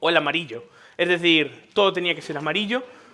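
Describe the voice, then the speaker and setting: A man talks at a moderate pace in an animated tone, his pitch high. He speaks with a Galician accent. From Galicia, Spain. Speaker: tech conference speaker. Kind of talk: conference talk. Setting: stage with audience. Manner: animated, conversational.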